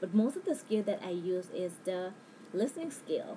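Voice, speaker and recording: A woman over noticeable background noise. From Thailand. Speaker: language student. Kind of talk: personal narrative. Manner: halting.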